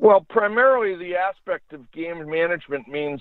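A plain, everyday voice from a man, at a fairly slow pace with ordinary pitch variation. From United States. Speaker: retired hockey referee and former player. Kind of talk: interview.

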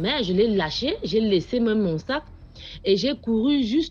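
A woman's somewhat breathy voice at a fairly slow pace, with very wide pitch swings. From Cameroon, Yaoundé. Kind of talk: testimony.

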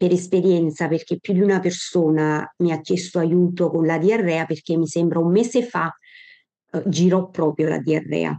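Against a quiet background, a woman with a fairly low pitch and a dark, mellow tone speaks at a fairly slow pace with fairly even intonation. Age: 50s. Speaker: doctor. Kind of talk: lecture. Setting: video call. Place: home room. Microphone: video call.

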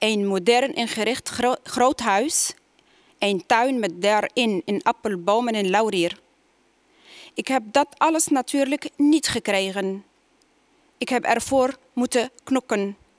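With an Arabic accent, a woman speaks at a very slow pace with long, frequent pauses, fairly high pitch, ordinary pitch variation and a quiet background. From Tunisia. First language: Arabic (speaking Dutch). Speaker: poet. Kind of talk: poetry reading. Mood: calm, measured. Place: stage. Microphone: headset.

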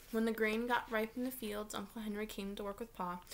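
A woman speaks at a fairly quick pace. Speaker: teacher reading aloud. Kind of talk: read-aloud storytelling. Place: home room. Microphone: webcam.

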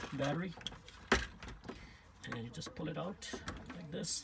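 A man speaks over loud background noise. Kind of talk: tutorial. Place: car. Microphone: phone near.

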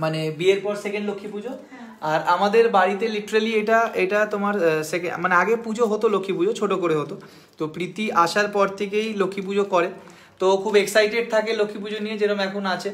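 A man speaks in a high pitch. His intonation is fairly even. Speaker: host of a live stream. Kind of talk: casual live stream chat. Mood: cheerful, festive. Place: home room. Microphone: phone near.

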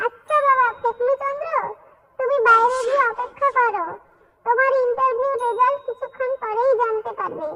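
The voice is a cartoonish character voice at an extremely high pitch. It moves at a moderate pace.

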